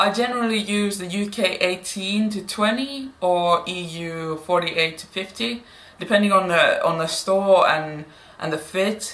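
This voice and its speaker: A woman speaks at a fairly slow pace with medium pitch, ordinary pitch variation and big swings in loudness. Noticeable background noise is present. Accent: non-native. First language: Finnish. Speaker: plus-size fashion vlogger. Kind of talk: haul video, casual talk to camera. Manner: hesitant, with fillers.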